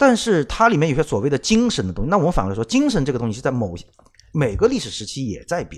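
Talking at a very fast pace, a man with a fairly high pitch swings widely in pitch and shifts sharply in loudness. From Shanghai, China. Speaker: podcast co-host, former car magazine editor. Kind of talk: casual chat.

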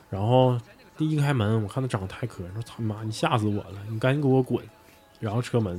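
Over noticeable background noise, a man with a medium pitch talks at a very fast pace with ordinary pitch variation. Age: 40s. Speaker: bar owner. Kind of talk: casual chat.

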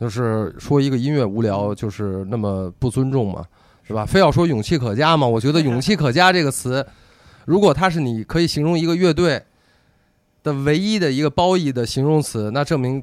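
A man speaks at a fairly quick pace with a fairly high pitch. His intonation is lively. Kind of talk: casual chat. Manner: fast.

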